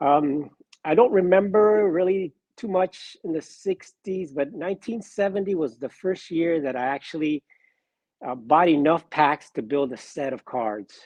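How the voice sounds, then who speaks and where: Using an unremarkable speaking voice, a man talks at a fairly high pitch with lively intonation. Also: fairly slow pace. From Miami, Florida (born in Cuba, moved at four). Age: 60s. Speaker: sports card collector. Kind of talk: casual interview.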